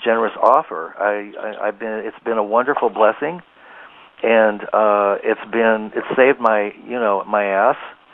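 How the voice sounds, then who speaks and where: In a normal speaking voice, a man talks at medium pitch and a fairly slow pace with fairly even intonation. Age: 60s. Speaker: psychic healer and author. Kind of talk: interview testimony. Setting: internet radio interview.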